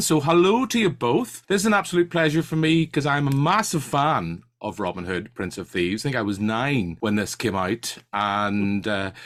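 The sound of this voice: A man with a Northern Irish accent talks at a moderate pace in a fairly bright tone, with big pitch swings.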